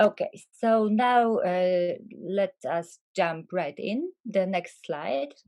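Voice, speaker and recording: A woman speaks very slowly with a non-native accent. Her voice sits at a medium pitch with a dark, mellow tone. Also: ordinary pitch variation. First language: Polish. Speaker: academic, panelist. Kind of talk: panel presentation.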